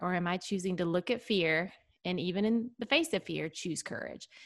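With an ordinary speaking voice, a woman talks at a moderate pace in a medium pitch with ordinary pitch variation. The recording is very clean, with a silent background. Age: 40s. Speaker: author and podcast host. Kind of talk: casual chat.

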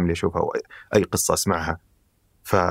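A very clean recording with a silent background captures a man's voice. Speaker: life design researcher. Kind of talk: conversational interview.

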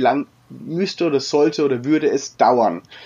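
This man's intonation is lively, and his pitch is fairly high. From Franconia, Germany (Würzburg). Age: 30s. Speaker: travel blogger. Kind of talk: interview. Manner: hesitant, many fillers.

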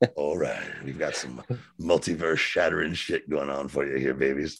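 In a put-on character voice, a man talks at a moderate pace, very deep and low, raspy, with a flat, monotone delivery. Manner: ethereal, echoing, low.

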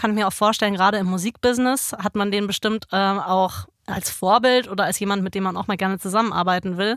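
A woman's medium-pitched voice at a very fast pace with hardly any pauses, fairly even intonation, and a very clean recording over a silent background. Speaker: podcast co-host, stage performer. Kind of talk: casual chat. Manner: laughs often, casual.

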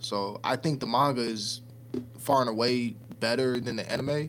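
A man speaks with an American accent at a medium pitch. His tone is animated. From Chicago, US. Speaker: podcast host. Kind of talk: casual banter podcast. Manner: animated, casual.

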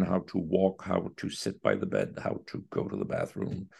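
Speech in a Quebec accent at a moderate pace, against a quiet background. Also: man. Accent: Québécois French-accented English. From Quebec City. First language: French. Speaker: orchestra conductor. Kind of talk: interview conversation. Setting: remote call. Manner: halting.

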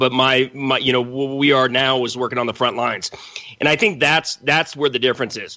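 A man with a medium-pitched voice talks at a fairly quick pace in an unremarkable speaking voice. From Los Angeles, California. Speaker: military veteran and cannabis activist. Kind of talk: debate.

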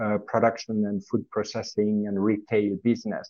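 The voice is that of a man with a Swiss French accent. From French-speaking Switzerland. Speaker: corporate treasurer. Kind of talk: podcast interview.

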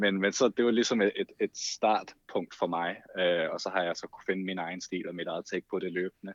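A man with a very deep, low pitch at a moderate pace, hardly any pauses, fairly even intonation and big swings in loudness, in a dry, close sound with no echo. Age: 20s. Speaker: TikTok creator and photographer. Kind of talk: casual chat.

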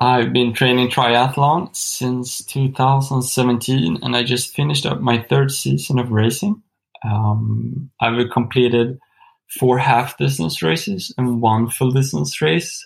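A man talks slowly at medium pitch with vocal fry. His intonation is fairly even.

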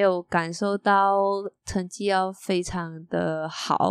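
Here a woman talks at a medium pitch with a Malaysian accent. The recording is very clean with a silent background and a dry, close sound with no echo. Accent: Malaysian Chinese Mandarin. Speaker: architecture magazine editor. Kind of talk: casual interview chat.

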